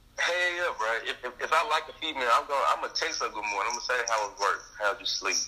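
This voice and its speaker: Very fast speech from a man, with noticeable background noise around it. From Arkansas, Forrest City. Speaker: podcast guest. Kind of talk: casual chat.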